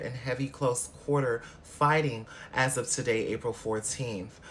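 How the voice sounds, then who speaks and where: Ordinary pitch variation in a somewhat breathy male voice. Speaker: podcast host. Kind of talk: news commentary podcast. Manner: casual, conversational.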